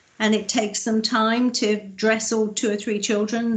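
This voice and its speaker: This woman's voice is somewhat breathy and fairly high in pitch. She keeps a moderate pace. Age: 60s. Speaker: councillor. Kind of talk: committee meeting. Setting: video call.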